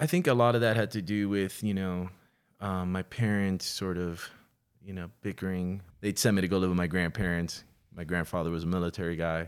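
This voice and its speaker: A man with an American accent and a very deep, low pitch talks at a fairly quick pace with fairly even intonation on a very clean recording with a silent background. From Miami, Florida. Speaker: podcast guest, film crew worker and rideshare driver. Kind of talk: casual interview conversation. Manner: hesitant, many fillers.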